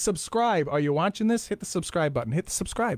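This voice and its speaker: Very wide pitch swings mark this man's animated tone. He speaks at a very fast pace on a very clean recording with a silent background. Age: 30s. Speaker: podcast host. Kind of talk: casual interview chat; scripted show intro.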